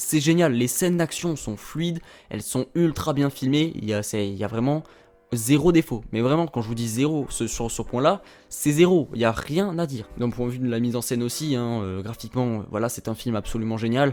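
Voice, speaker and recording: A man with a Toulouse accent speaks at a moderate pace over music in the background. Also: medium pitch for a man, ordinary pitch variation. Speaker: YouTube film critic. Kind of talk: casual film review. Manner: animated, hesitant with fillers.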